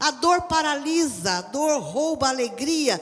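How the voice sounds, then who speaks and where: Over noticeable background noise, a woman with a high voice talks at a very slow pace with lively intonation. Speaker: preacher. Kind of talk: sermon delivered live to a church congregation.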